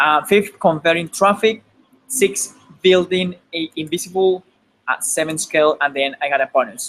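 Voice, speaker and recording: Someone speaks with a Spanish accent at a moderate pace. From Colombia. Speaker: online marketer. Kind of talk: webinar presentation. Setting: live online webinar. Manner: halting, repeats words.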